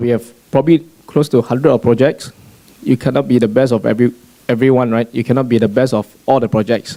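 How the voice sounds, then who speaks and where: Talking at a very fast pace broken by long, frequent pauses, a man uses a medium pitch, fairly even intonation and a dark, mellow tone. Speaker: real estate agent. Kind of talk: panel discussion.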